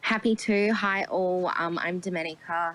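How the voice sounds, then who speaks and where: Speaking with an Australian accent, a woman has a fairly low pitch. Her pace is moderate and her pitch variation ordinary. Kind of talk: panel discussion.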